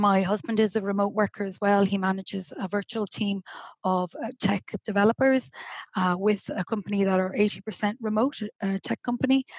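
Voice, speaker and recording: Against a quiet background, a woman with a slight Irish accent speaks at a fairly quick pace in a somewhat breathy voice with fairly even intonation, recorded with a dry, close sound and no echo. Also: medium pitch for a woman. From Ireland, Galway (west coast). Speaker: remote work educator. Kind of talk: podcast interview. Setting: video call from home, on a sofa.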